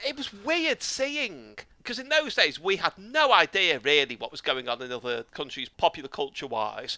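A high-pitched man speaks at a moderate pace with very wide pitch swings and big swings in loudness, in a dry, close sound with no echo over noticeable background noise. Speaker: podcast host. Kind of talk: casual interview chat.

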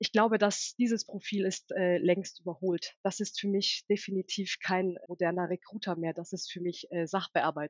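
Medium-pitched female speech at a moderate pace, fairly even in intonation, with hardly any pauses. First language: Turkish (bilingual with German) (speaking German). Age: 30s. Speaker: recruiting and HR manager. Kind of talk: interview.

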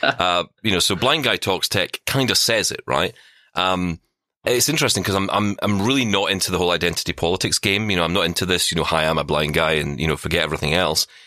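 In a Scottish accent, the speaker talks at a very fast pace with a bright, sharp tone and ordinary pitch variation. The recording is very clean and dry, close with no echo, and the background is silent. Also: man, very deep, low pitch for a man. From Scotland. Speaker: podcaster, former radio worker, blind tech presenter. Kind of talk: casual interview chat.

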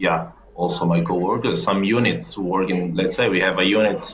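A man with a Portuguese accent talks at a fairly quick pace in a very deep, low pitch with ordinary pitch variation, over noticeable background noise. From Angola. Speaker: cybersecurity engineer. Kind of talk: casual interview. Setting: video call. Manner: halting.

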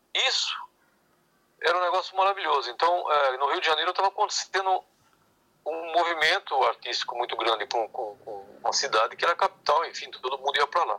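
A man speaks at a fairly quick pace with a fairly high pitch and lively intonation. His tone is bright and sharp, and the sound is dry and close with no echo. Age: 60s. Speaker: clarinetist and saxophonist. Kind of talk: interview.

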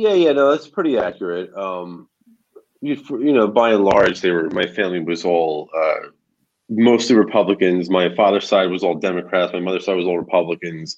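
A man with an American accent talks in a normal speaking voice, fairly low in pitch, with ordinary pitch variation at a moderate pace. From New Jersey, near New York City. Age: 30s. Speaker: political activist. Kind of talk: casual interview.

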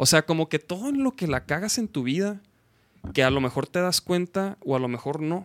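A man speaks in a normal speaking voice at a moderate pace, with lively intonation. The recording is very clean, with a silent background. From Chihuahua, Mexico. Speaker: podcast host. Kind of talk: casual chat. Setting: live stream. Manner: informal, slangy.

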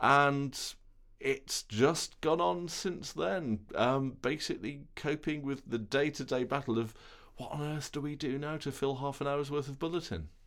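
An ordinary speaking voice, a man's at a fairly high pitch, moves at a fairly slow pace with ordinary pitch variation on a very clean recording with a silent background. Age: 40s. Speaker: television reporter. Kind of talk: interview. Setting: studio.

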